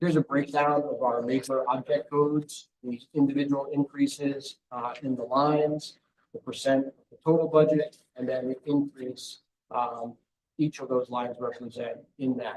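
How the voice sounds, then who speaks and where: This man has a normal speaking voice, fairly high in pitch, with fairly even intonation, a moderate pace and big swings in loudness. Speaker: school district finance administrator. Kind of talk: budget presentation.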